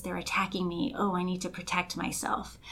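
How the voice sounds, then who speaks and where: Her voice sits at a medium pitch, and the woman speaks with an American accent. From Los Angeles, Colombian family. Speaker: life coach. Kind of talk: casual chat.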